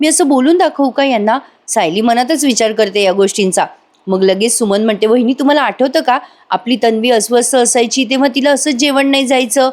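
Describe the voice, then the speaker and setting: The voice carries an animated tone while its loudness stays very even throughout. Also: woman, high pitch for a woman, ordinary pitch variation. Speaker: TV serial review narrator. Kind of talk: episode recap narration.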